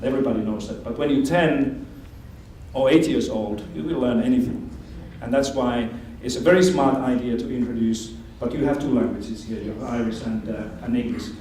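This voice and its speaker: With ordinary pitch variation, a man speaks at a fairly quick pace, his voice carrying audible room echo over noticeable background noise. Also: medium pitch for a man. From Finland. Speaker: education expert speaker. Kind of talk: lecture.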